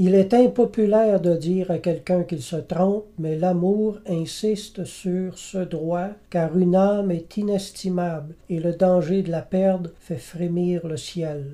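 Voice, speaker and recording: A man's high, dark, mellow voice, very slow, with fairly even intonation and hardly any pauses. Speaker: Bible teacher. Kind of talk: sermon.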